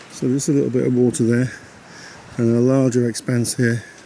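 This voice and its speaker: Noticeable background noise sits behind a man at medium pitch. He keeps a flat, monotone intonation. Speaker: caravanning vlogger. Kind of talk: vlog walkthrough. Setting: outdoors at a campsite.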